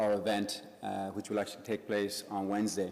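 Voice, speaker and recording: A man's fairly low voice in an Irish accent at a fairly quick pace. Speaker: business group president. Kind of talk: event introduction speech. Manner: halting, many fillers.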